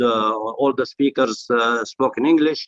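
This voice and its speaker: A man speaks with an Arabic accent at a moderate pace. His intonation stays fairly even. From Jordan. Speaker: business association chairman. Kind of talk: improvised conference speech.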